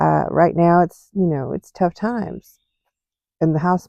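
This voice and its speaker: Her pitch sits fairly low and her intonation stays fairly even. This woman's voice comes through in a dry, close sound with no echo. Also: quiet background. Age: 60s. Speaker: vlogger. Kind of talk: casual vlog monologue. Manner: hesitant, many fillers.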